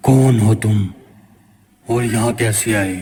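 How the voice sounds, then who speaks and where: A man speaks at a medium pitch in a cartoonish character voice. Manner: curt, questioning.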